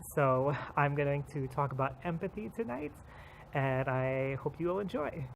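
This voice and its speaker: A man at a moderate pace, fairly high in pitch, with ordinary pitch variation. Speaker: mental health vlogger. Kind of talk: casual vlog monologue. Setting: outdoors, walking at night. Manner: loud; hesitant, many fillers.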